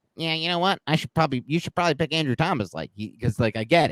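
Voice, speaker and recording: A put-on character voice races along at a very fast pace with lively intonation. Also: man, fairly high pitch for a man. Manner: nerdy, mocking.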